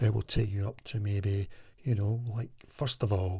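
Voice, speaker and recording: Fairly low in pitch, a man speaks with a somewhat breathy sound. His pace is fairly slow. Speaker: wellness vlogger. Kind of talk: casual talking-head advice video.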